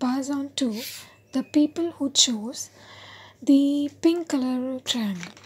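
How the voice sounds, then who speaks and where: A soft-spoken woman talks at a high pitch. Her pitch varies in an ordinary way. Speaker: tarot card reader. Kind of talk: tarot reading to camera.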